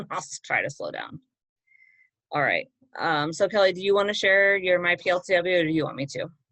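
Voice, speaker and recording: A woman with an American accent speaks at a fairly quick pace in a medium pitch, her tone bright and sharp, with ordinary pitch variation, big swings in loudness and long, frequent pauses against a quiet background. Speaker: teacher trainer. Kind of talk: online training session. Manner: fast.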